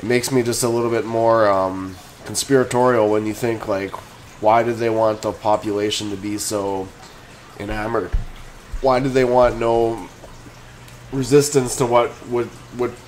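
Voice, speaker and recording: A man talks at a moderate pace with fairly even intonation and long, frequent pauses over light background noise. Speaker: stock commentator. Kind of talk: casual commentary and opinion rant. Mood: frustrated, opinionated. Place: home room. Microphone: webcam.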